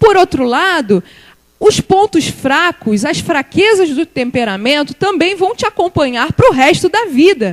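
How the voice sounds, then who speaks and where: A woman speaks at an extremely high pitch with very wide swings up and down. Her pace is fairly slow, and the sound is dry and close with no echo. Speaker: church speaker, guest preacher. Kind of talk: sermon.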